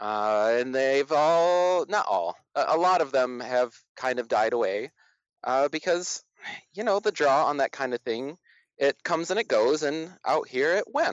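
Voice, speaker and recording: A man's fairly high-pitched voice at a moderate pace with lively intonation. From Flint, Michigan. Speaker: community project founder. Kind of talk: interview.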